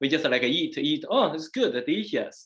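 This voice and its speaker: A man with a strong Chinese accent, ordinary pitch variation, and a quiet background. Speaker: Daoist master and former priest. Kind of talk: casual chat. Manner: halting, many fillers.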